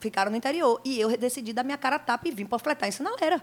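A woman talks at a very fast pace in an animated tone with lively intonation. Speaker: pagode singer. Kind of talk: casual interview. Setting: studio.

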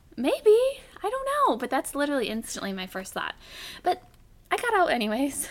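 A woman with a high pitch talks at a fairly quick pace, with very wide pitch swings, long, frequent pauses and noticeable background noise. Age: 20s. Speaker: podcast co-host. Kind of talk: casual chat.

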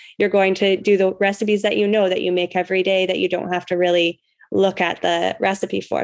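In a monotone, flat intonation, a woman delivers her words fairly quickly. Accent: Western Canadian. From Canada. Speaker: cheesemaking teacher and rancher. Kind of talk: casual interview.

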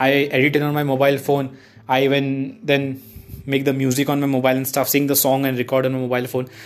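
A man at a medium pitch and a very fast pace, with monotone, flat intonation over noticeable background noise. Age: 20s. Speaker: aspiring actor, vlogger. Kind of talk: casual monologue vlog. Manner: rambling, run-on flow.

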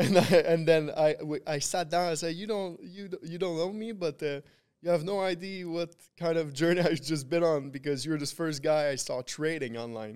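A man speaks with a Quebec accent at a moderate pace. His pitch is high, with ordinary variation. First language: French. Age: 20s. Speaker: trader. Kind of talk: casual interview. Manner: halting.

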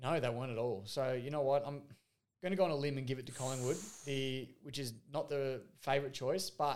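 Fairly even intonation and a fairly quick pace from a man with a medium pitch. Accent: Australian. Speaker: football podcast co-host. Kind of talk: casual chat.

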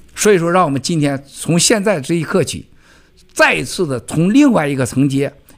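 A man with a plain, everyday voice, fairly high in pitch, with lively intonation at a moderate pace. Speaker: event keynote speaker. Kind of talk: speech to event audience.

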